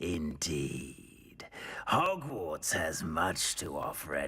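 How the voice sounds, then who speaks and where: The speech comes very slowly in a put-on character voice. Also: man. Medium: video game. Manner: slow, musing, thoughtful.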